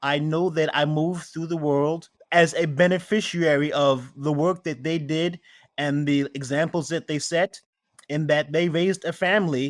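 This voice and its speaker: A man with a New York accent talks at a moderate pace, his fairly high voice held to fairly even intonation. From New York City (Queens, Brooklyn). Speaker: spirits maker. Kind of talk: interview.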